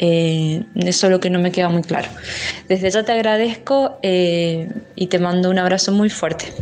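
Noticeable background noise sits behind a woman speaking at a medium pitch and a fairly slow pace. Her loudness stays very even, and her pitch varies in an ordinary way. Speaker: caller. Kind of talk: voice message. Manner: halting, many fillers.

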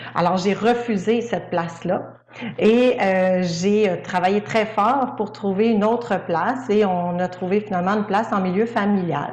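A woman at medium pitch with fairly even intonation and very even loudness, audible room echo and noticeable background noise. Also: fairly slow pace. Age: 40s. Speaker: speech-language pathologist. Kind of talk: testimony.

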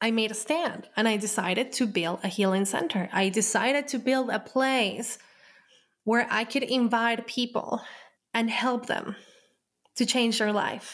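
A woman's fairly high voice with a Spanish accent at a fairly slow pace, on a very clean recording with a silent background. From Colombia. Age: 30s. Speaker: podcast host and healer. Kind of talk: personal storytelling monologue.

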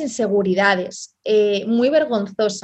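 A woman with a fairly high pitch and ordinary pitch variation talks at a very slow pace. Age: 30s. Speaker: online entrepreneur, team leader. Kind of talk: interview.

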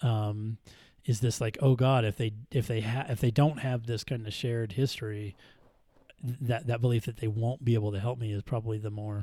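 A man speaks at medium pitch and a moderate pace, his voice somewhat breathy. His tone is dark and mellow, with fairly even intonation. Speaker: trauma therapist. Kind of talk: casual chat. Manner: halting, hesitant.

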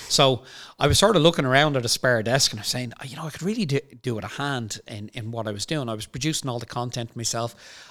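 A man with an Irish accent at a very fast pace, medium pitch, ordinary pitch variation and big swings in loudness. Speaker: company CEO. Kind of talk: casual chat.

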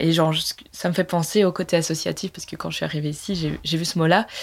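At a moderate pace, a woman with a fairly low pitch and vocal fry keeps her intonation fairly even, in a very clean recording with a silent background. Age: 20s. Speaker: entrepreneur. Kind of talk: interview.

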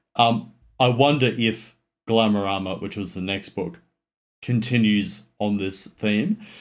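In an Australian accent, a man talks at a fairly slow pace with fairly low pitch and fairly even intonation. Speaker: film buff, former law student. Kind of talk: casual chat. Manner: halting.

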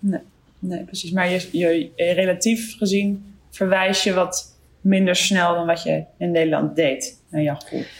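At a very slow pace, a woman speaks with a medium pitch and fairly even intonation. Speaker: podcast host, general practitioner. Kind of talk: interview. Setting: video call.

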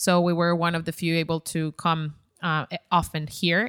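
A woman speaks at a fairly low pitch with a Spanish accent. The sound is dry and close with no echo, on a very clean recording with a silent background. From Ecuador. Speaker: content creator. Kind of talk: casual chat.

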